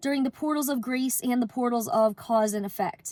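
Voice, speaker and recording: There is noticeable background noise while a woman talks in a high register. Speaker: spiritual card reader. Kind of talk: collective card reading talk. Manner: casual with many fillers.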